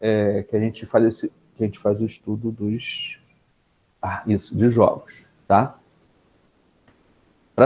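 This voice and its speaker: A man speaks in a dark, mellow tone, keeping a moderate pace at a medium pitch. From Brazil, Niterói (Rio de Janeiro state). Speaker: PhD researcher, speaker. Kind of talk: lecture. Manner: casual with many fillers and repetitions.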